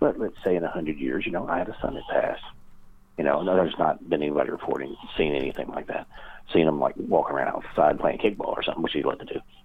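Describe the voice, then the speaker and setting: A man talks very fast in a Kentucky accent. Background noise is noticeable throughout. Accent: Southern US (Kentucky). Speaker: paranormal researcher and author. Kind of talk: interview conversation.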